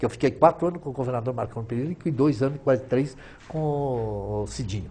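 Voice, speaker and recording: A man talks fairly quickly at a medium pitch. His tone is dark and mellow, and somewhat breathy. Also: ordinary pitch variation. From southern Brazil, Rio Grande do Sul, Italian colony. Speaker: businessman, former trade association president. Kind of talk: interview.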